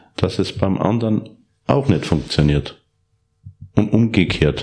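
A man with an Upper Austrian accent speaks at a very slow pace. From Upper Austria (Steyr). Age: 40s. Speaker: professional horse trainer and reining rider. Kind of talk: interview.

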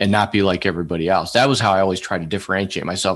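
A man with a fairly low pitch talks against a quiet background. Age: 50s. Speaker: sales professional. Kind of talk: casual interview. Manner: animated.

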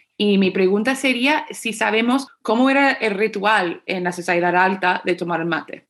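In a normal speaking voice, a woman talks at a moderate pace and medium pitch with lively intonation and hardly any pauses. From United States. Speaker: podcast host. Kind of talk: casual chat.

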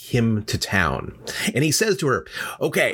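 Natural-sounding reading voice

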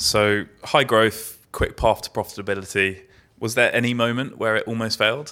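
With an ordinary speaking voice, a man talks at a moderate pace and medium pitch, keeping his intonation fairly even. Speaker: podcast host and venture investor. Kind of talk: podcast hosting, intro and interview. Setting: live event with audience.

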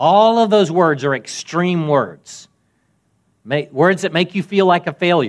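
A man speaks at a fairly slow pace with a high pitch and ordinary pitch variation, on a very clean recording with a silent background. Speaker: pastor. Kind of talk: sermon. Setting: church.

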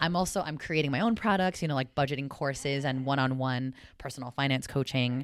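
In a West Coast accent, the speaker goes very fast with an animated tone and ordinary pitch variation, in a very clean recording with a silent background. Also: woman, very deep, low pitch for a woman. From South San Francisco, California. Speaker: personal finance coach. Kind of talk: casual interview chat.

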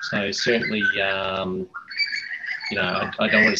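In an Australian accent, the man's voice has a bright, sharp tone. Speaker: supply chain specialist, air force officer. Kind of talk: interview podcast. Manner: halting, many fillers.

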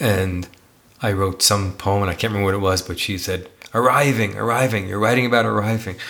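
A man with an American accent speaks in a fairly low voice over noticeable background noise. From New York City. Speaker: podcast co-host, teacher and author. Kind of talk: casual chat between partners.

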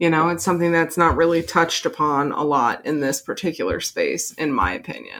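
A woman's normal speaking voice, fairly low in pitch with ordinary variation, at a fairly quick pace with hardly any pauses, on a very clean recording with a silent background. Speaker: podcast host. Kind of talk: casual chat with scripted true-crime narration. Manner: joking, bantering.

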